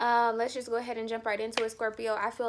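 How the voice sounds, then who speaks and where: The recording is very clean, its background silent. On it, a woman speaks at a very fast pace. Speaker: tarot reader. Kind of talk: tarot reading monologue. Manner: hesitant fillers.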